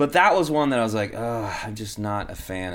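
Using ordinary pitch variation, a man with a Texan accent speaks at a moderate pace. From Texas. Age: 40s. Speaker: punk rock singer and comedian. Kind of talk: casual chat.

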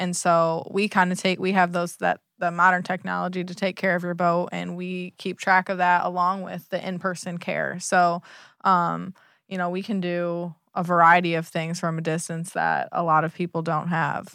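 In a very clean recording with a silent background, a woman with an American accent speaks at a fairly low pitch and a moderate pace, her intonation monotone and flat. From US Midwest, Michigan. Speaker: boat management business partner. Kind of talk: casual interview.

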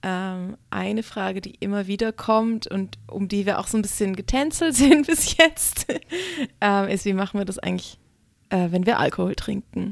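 An unremarkable speaking voice from a woman, medium in pitch, at a moderate pace with ordinary pitch variation. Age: young. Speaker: stripper and burlesque performer, podcast co-host. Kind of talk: casual chat.

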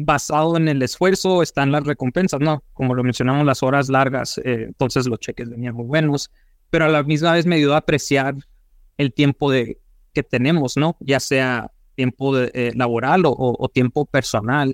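A man's normal speaking voice, fairly high-pitched, at a moderate pace with fairly even intonation, dry and close with no echo, on a very clean recording with a silent background. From Mexico, Sonora (Hermosillo). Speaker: financial advisor for small businesses. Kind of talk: interview.

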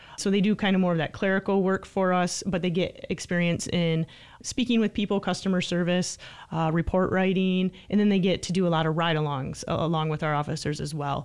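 Using a normal speaking voice with an American accent, a woman speaks at a fairly low pitch and a fairly quick pace, with fairly even intonation. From Michigan. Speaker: police sergeant. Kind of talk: radio interview. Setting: studio.

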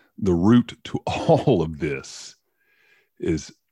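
With a dark, mellow tone, a man speaks at a very slow pace. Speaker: podcast co-host. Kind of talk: casual chat. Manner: halting.

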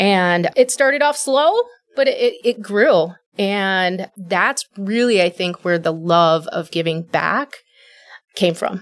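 At a very slow pace, a woman speaks with lively intonation and an American accent. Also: medium pitch for a woman. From Wisconsin. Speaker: church compassion director. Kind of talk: interview.

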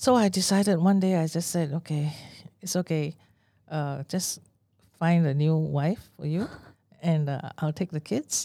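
On a very clean recording with a silent background, a woman speaks fairly slowly at a fairly low pitch with a dark, mellow tone. Her pitch variation is ordinary, and she takes long, frequent pauses. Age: 60s. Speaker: therapist. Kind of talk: casual chat. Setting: studio.

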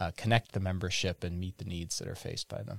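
Recorded very cleanly against a silent background, a man with an Upper Midwest accent speaks in a very deep, low voice, the sound dry and close with no echo. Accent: Upper Midwest American. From Wisconsin. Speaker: economic development and chamber of commerce director. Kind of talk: casual interview.

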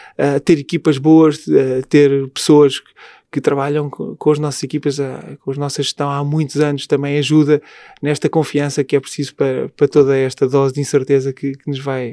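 A man speaks at a moderate pace, dry and close with no echo. His fairly high voice has a dark, mellow tone and monotone, flat intonation. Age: 40s. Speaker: hotel group executive. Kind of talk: interview.

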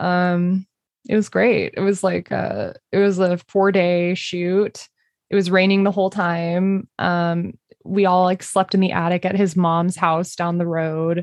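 A woman with an American accent at a fairly slow pace, monotone and flat in intonation, with very even loudness, a quiet background and a dry, close sound with no echo. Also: medium pitch for a woman. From Texas. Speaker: comedy writer and performer. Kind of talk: casual interview chat. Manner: halting, many fillers.

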